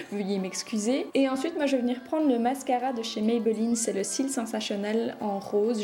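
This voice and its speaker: Against noticeable background noise, a woman with a high voice speaks at a moderate pace with fairly even intonation. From Belgium. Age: 20s. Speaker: beauty youtuber. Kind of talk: makeup tutorial talk to camera. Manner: casual, chatty.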